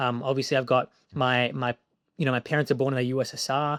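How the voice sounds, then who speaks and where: On a very clean recording with a silent background, a man with an Australian accent speaks at medium pitch with fairly even intonation. The sound is dry and close with no echo. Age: 20s. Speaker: film director. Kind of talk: interview.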